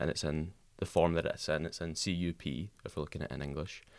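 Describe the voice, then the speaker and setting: This man has a very deep, low pitch and fairly even intonation. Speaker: linguistics student. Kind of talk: casual chat. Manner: many filler ums.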